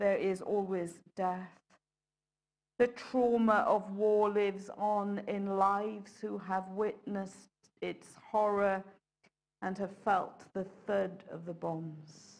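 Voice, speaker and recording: In a quiet background, a woman speaks at a very slow pace in a flat, monotone intonation, with long, frequent pauses. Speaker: preacher. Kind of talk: sermon. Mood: solemn, reflective. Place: church.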